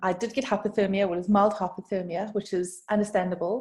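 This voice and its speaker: A woman's dark, mellow voice in a South African accent, medium in pitch and monotone, flat in intonation, on a very clean recording with a silent background. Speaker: brand designer. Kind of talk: podcast interview. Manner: conversational, some hesitations.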